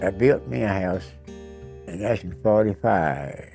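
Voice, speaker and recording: With music in the background, a man with an American accent speaks at a fairly slow pace with lively intonation. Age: 80s+. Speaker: war veteran. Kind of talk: interview answer.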